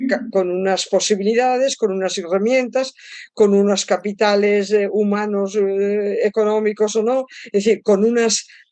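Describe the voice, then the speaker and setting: A woman speaks at a fairly slow pace with a dark, mellow tone. Her pitch sits in the medium range and varies in an ordinary way. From Spain. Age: old. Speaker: psychologist and author. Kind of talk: interview.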